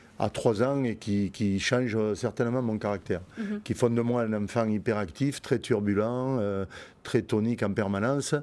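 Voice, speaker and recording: Fairly slow, fairly even delivery from a man with a medium pitch and a dark, mellow tone, on a very clean recording with a silent background. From Montpellier, southern France. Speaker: bull breeder, businessman. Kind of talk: interview answer.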